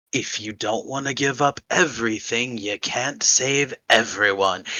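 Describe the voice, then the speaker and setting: The pace stays moderate. It is a put-on character voice. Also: man, medium pitch for a man. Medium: actual play. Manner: smug, teasing, unhurried.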